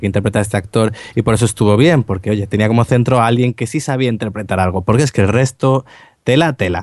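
This man has an ordinary speaking voice and talks at a fairly quick pace. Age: 20s. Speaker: podcast co-host. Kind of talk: casual chat.

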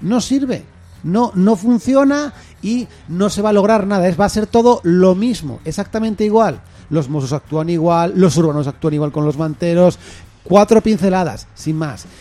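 This man has a high pitch and a dark, mellow tone, talking at a moderate pace with lively intonation. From Castile, Spain. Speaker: community radio host. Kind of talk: casual chat.

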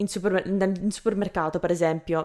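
A woman's medium-pitched voice, fairly quick and fairly even in intonation. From Canada. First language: English (speaking Italian). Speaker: language learner and video creator. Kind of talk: interview. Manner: halting.

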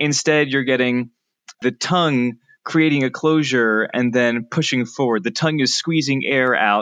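A man with a plain, everyday voice talks at a fairly slow pace and medium pitch, showing ordinary pitch variation over a quiet background. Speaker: linguistics researcher. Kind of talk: interview. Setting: remote from California.

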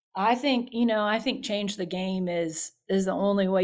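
A moderate pace in a Louisiana accent, on a very clean recording with a silent background. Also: woman. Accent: Southern US (Louisiana). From US South, south Louisiana (Baton Rouge). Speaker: youth minister. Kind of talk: interview.

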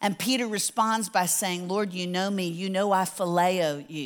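In a very clean recording with a silent background, a woman of medium pitch speaks in an unremarkable speaking voice. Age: 60s. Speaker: Bible teacher. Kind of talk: sermon. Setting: church with audience.

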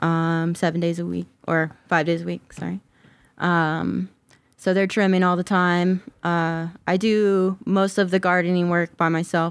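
Fairly slow and fairly low in pitch, a woman with an American accent is heard on a very clean recording with a silent background. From US South (Georgia). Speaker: cannabis grower. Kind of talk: casual interview chat.

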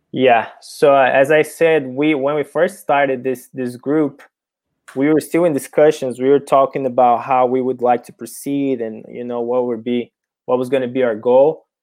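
A man's medium-pitched voice with a Portuguese accent and fairly even intonation. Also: moderate pace. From Brazil. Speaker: professional soccer player. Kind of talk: interview.

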